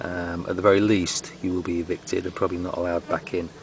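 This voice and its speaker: Over noticeable background noise, a man with a very deep, low pitch talks at a fairly quick pace. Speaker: comedy gardening presenter. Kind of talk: mock tutorial. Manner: whispering; deadpan.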